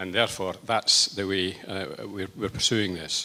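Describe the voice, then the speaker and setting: A man with a Lancashire accent, fairly low in pitch, at a moderate pace. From northern England, Lancashire. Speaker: politician. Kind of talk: rally speech. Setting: rally with audience. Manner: hesitant, many fillers.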